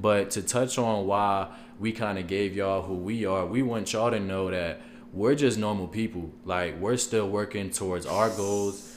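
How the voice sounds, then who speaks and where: With an ordinary speaking voice, a man talks at a moderate pace, his pitch fairly low and his intonation fairly even. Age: 20s. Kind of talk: casual chat.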